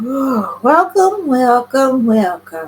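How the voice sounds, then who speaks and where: A put-on character voice with a high pitch goes sing-song through very wide pitch swings. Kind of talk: church announcement. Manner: warm, sing-song.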